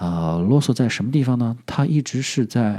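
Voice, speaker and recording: The voice has a dark, mellow tone with a slight southern Chinese accent. It moves at a fairly slow pace with ordinary pitch variation. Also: man. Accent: slight southern Chinese accent in Mandarin. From southern China. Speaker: podcast host. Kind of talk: casual vocabulary tutorial. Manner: halting, many filler sounds.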